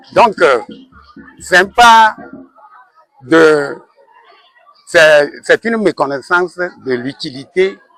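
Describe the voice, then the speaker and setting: The intonation is lively. A man speaks at a fairly high pitch. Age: 60s. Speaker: school director. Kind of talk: interview. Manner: halting.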